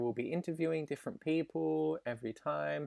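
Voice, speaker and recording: A man with an Australian accent talks at a moderate pace in a very clean recording with a silent background and a dry, close sound with no echo. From Western Australia, Perth. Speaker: podcast co-host, music student. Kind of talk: casual chat.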